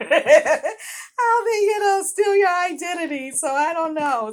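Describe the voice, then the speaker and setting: On a very clean recording with a silent background, a woman speaks with a strong Boston accent. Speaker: author and vlogger. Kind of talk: casual vlog talk to viewers. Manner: conversational, halting with fillers.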